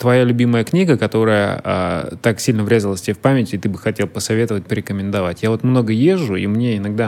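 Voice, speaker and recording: A man at a fairly low pitch, talking at a very fast pace with ordinary pitch variation. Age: 30s. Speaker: podcast host. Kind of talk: interview.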